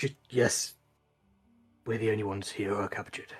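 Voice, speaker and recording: A man uses a raspy put-on character voice at medium pitch with fairly even intonation. He talks at a fairly quick pace while faint music plays in the background. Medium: actual play. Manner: halting, weary.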